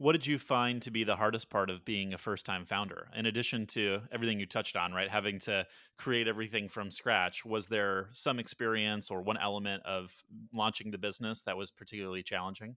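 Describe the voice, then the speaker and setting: A man with a plain, everyday voice speaks at a fairly quick pace. His pitch is fairly low and his intonation fairly even. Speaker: podcast host. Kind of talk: casual interview.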